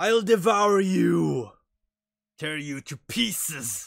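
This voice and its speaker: A man bellows in a put-on character voice at a very slow pace. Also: fairly high pitch for a man. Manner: roaring, threatening.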